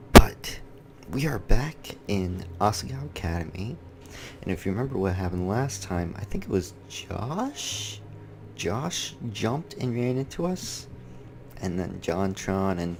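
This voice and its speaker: A soft-spoken man talks at a fairly slow pace in a very deep, low voice. His intonation is lively, and music plays in the background. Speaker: gaming YouTuber. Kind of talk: reading aloud.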